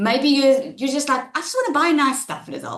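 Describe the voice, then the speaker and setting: A woman is speaking. Her voice is loud. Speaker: online marketing trainer. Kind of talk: webinar presentation. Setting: webinar. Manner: animated.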